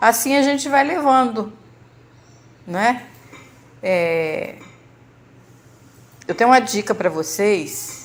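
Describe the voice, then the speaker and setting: A woman moves through her words at a very slow pace, her intonation lively. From Brazil, Rio de Janeiro state. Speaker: church member sharing health testimony. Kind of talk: testimony. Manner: halting, with fillers and repetitions.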